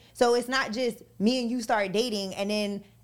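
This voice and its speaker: Energetic in tone, a woman speaks at a fairly high pitch with ordinary pitch variation. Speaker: radio personality, guest co-host. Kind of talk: casual chat.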